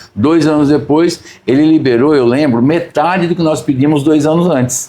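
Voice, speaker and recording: Fairly high in pitch yet dark and mellow in tone, a man speaks at a moderate pace with very even loudness. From Brazil, São Paulo. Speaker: agribusiness company president. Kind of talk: interview conversation. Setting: on location, not studio.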